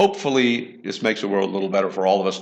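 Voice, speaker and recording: Someone speaks at a very fast pace with lively intonation, the room echo clearly audible. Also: man. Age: 60s. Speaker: online science educator, show host. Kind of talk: live online lecture wrap-up and Q&A. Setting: virtual reality gallery.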